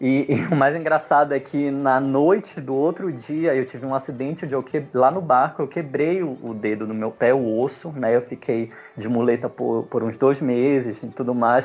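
A man uses a normal speaking voice at a moderate pace. His medium pitch shows ordinary variation. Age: 30s. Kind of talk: personal testimony in a casual panel chat.

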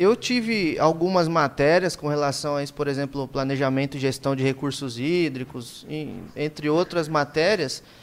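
Here a man talks in an unremarkable speaking voice. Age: 20s. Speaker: podcast host, irrigation engineer. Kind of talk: casual chat. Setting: live stream.

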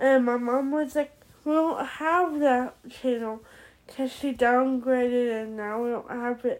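A woman talks very slowly in a high voice. Her intonation stays fairly even. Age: 20s. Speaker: podcaster. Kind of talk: casual monologue. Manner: halting.

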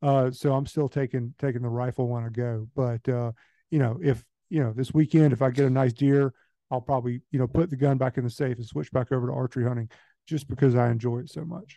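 Talking very fast with a Southern US accent, a man has a dark, mellow tone and fairly even intonation, the sound dry and close with no echo. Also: medium pitch for a man. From Georgia, US. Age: 30s. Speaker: hunter and land manager. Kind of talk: casual chat. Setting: phone call.

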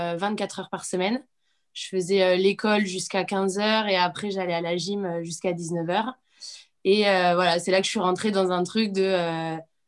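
A woman speaks at a moderate pace. Her intonation stays flat and monotone. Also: medium pitch for a woman, very clean recording, silent background. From Corsica. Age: 30s. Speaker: schoolteacher and CrossFit athlete. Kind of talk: casual chat.

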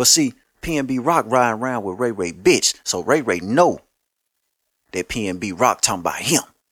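On a very clean recording with a silent background, a man with an American accent speaks at a medium pitch and a moderate pace, animated in tone with lively intonation. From Louisiana (Shreveport). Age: 30s. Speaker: podcast host. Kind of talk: casual monologue.

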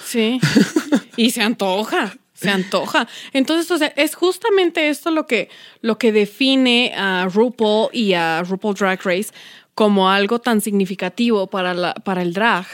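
A woman with an unremarkable speaking voice and fairly high pitch speaks at a fairly slow pace with lively intonation, in a very clean, dry, close recording with no echo and a silent background. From Mexico City, Iztapalapa. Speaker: podcast co-host. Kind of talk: casual chat.

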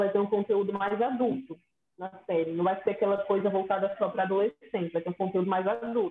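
Here is a woman with a normal speaking voice at a fairly quick pace. Her pitch is medium, with ordinary pitch variation. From Espírito Santo, Brazil. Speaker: podcast co-host. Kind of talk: casual chat.

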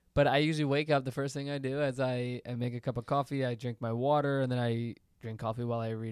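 On a very clean recording with a silent background, a medium-pitched man talks at a very fast pace with hardly any pauses and fairly even intonation. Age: 20s. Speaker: podcast co-host. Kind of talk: casual chat.

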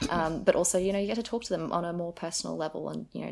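A woman speaks at a very fast pace with a fairly low pitch and vocal fry. Her pitch varies in an ordinary way. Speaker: university student. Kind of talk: casual chat.

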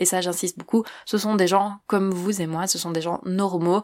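This woman's voice sits fairly low and stays monotone, her intonation flat. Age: 20s. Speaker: podcaster. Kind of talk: self-presentation interview.

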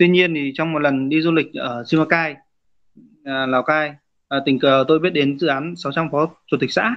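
With an ordinary speaking voice, a man talks at a moderate pace, his fairly high pitch following fairly even intonation. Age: 30s. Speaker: rice farmer and cooperative head. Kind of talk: interview.

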